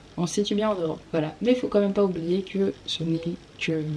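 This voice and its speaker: Speaking at a fairly quick pace, a woman uses an ordinary speaking voice with a fairly low pitch and fairly even intonation. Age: 20s. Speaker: psychology student. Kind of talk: casual educational talk to camera.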